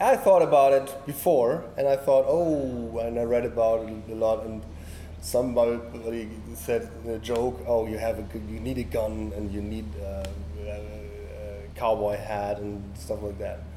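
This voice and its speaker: Big swings in loudness in a German accent, over noticeable background noise. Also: man, fairly slow pace. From Germany. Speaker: photographer. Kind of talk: interview. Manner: halting.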